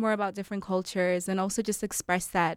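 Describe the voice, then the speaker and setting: On a very clean recording with a silent background and a dry, close sound with no echo, a woman with a plain, everyday voice speaks at a fairly quick pace and medium pitch. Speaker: student club co-founder. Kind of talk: radio interview.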